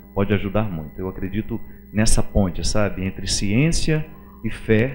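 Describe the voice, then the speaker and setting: The man's pitch rises and falls across a very wide range. He talks at a moderate speed. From Minas Gerais, Brazil. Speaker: priest and writer. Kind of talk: interview answer.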